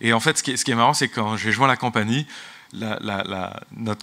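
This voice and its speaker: Speaking with an English accent, a man of medium pitch talks at a very fast pace in a bright, sharp tone with ordinary pitch variation. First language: English (speaking French). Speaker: business executive. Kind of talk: conference talk. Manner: halting, many repetitions.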